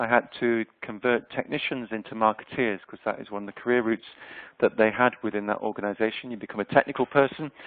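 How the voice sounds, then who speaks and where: With a slight Yorkshire accent, a man talks at a fairly quick pace. His intonation is monotone and flat, at a medium pitch. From Yorkshire, northern England. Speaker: HR consultant and researcher. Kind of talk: webinar presentation. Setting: online webinar. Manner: hesitant, many fillers.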